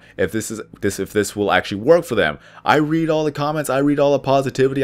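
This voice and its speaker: Against a silent background in a very clean recording, a man's pitch varies in an ordinary way. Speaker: video creator; drive-thru worker. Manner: stumbles over words at times.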